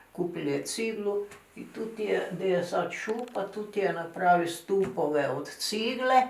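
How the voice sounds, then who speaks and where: Noticeable background noise sits behind a woman speaking at a medium pitch. Her pitch varies in an ordinary way, and her pace is fairly slow. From Croatia. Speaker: grandmother recounting her life. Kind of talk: interview answer. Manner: rambling, losing the thread.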